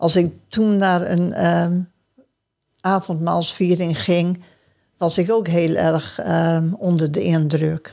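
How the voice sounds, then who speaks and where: A woman at a very slow pace, fairly low in pitch, monotone and flat, with very even loudness. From Groningen, northern Netherlands. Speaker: churchgoer sharing life story. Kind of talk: casual interview conversation. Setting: church.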